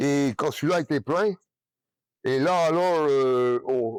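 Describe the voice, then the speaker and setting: Heard in a dry, close sound with no echo, a man speaks with a fairly high pitch and ordinary pitch variation. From Brittany, France. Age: 80s+. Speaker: retired farmer. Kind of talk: interview answer. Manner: hesitant, rambling.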